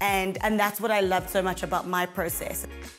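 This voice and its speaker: Faint music can be heard behind the speaker. She is a woman talking at an even, moderate speed. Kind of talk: interview answer. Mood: upbeat, enthusiastic. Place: kitchen. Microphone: lapel.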